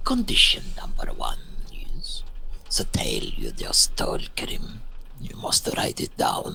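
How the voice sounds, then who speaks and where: Whispering in a put-on character voice, the speaker goes at a fairly slow pace. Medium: game stream. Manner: slow, formal, refers to himself in third person.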